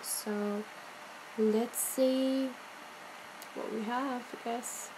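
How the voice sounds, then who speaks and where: Over noticeable background noise, a woman talks at a very slow pace in a high pitch with monotone, flat intonation. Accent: non-native. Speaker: beauty youtuber. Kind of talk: casual talk to camera.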